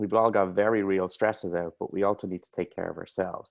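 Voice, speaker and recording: In an Irish accent, a man speaks in a flat monotone with a very deep, low pitch, the sound dry and close with no echo. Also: quiet background. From Ireland. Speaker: mental health coach. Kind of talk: interview.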